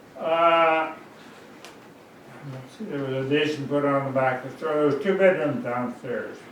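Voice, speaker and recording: Amid noticeable background noise and audible room echo, a man with a Pacific Northwest accent talks at a moderate pace in a fairly high pitch, with ordinary pitch variation, big swings in loudness and long, frequent pauses. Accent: Pacific Northwest American. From Washington State, Seattle area. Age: 90s. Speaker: oral history interviewee. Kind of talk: oral history interview. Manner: halting.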